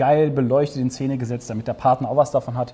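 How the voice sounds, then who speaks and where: This man talks fairly quickly. His voice has a dark, mellow tone and sounds somewhat breathy. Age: 30s. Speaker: entrepreneur, gaming venue founder. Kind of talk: casual interview with a walking tour of the venue.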